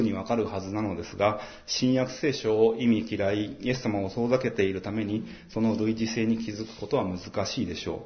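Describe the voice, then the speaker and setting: A man's somewhat breathy voice is heard with audible room echo. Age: 40s. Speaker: pastor. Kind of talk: sermon. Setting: church.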